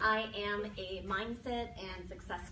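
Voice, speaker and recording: A woman speaks in a Minnesota accent. Audible room echo and noticeable background noise surround her voice. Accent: Minnesotan. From Minnesota, US Upper Midwest. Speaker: mindset and success coach. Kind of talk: talk to an audience. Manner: conversational, with filler words.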